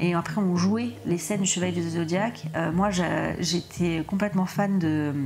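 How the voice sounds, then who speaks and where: A woman's fairly low voice at a fairly slow pace with hardly any pauses, fairly even intonation and noticeable background noise. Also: very even loudness. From southern France (Montpellier). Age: 30s. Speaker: podcast guest. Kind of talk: personal testimony interview. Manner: halting, many hesitations.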